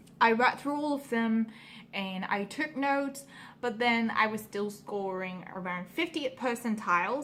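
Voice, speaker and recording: A woman speaks with a non-native accent. Her voice is fairly high, with ordinary pitch variation. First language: not English. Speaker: vlogger, pre-med student. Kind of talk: casual vlog talk. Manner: halting, many fillers.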